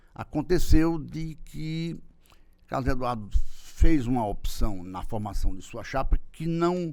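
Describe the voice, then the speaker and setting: Speaking at a very slow pace, a man has a dark, mellow tone and a fairly high pitch. His intonation is lively, with big swings in loudness. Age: 60s. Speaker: political marketing consultant. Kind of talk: interview. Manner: halting.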